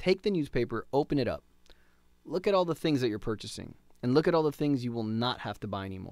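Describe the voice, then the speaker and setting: Fairly quick, animated speech with lively intonation. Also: man. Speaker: doctor presenting a product webinar. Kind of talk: sales pitch. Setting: webinar. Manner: fast.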